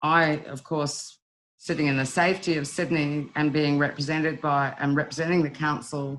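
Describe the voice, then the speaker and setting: At a moderate pace, a woman with a New Zealand accent speaks in a very deep, low pitch with fairly even intonation. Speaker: wildlife rescue volunteer leader. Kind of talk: webinar presentation. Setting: online webinar. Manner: hesitant, many fillers.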